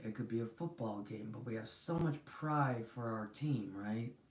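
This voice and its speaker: A soft-spoken woman at a fairly slow pace, with ordinary pitch variation. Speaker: spiritual reader / channel host. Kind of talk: live-stream spiritual teaching. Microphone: too quiet.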